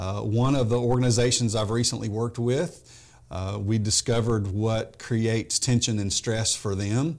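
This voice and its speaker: In a Tennessee accent, a man at medium pitch talks with fairly even intonation. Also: moderate pace. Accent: Southern US (Tennessee). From US South, Memphis, Tennessee. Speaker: business coach. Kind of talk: interview.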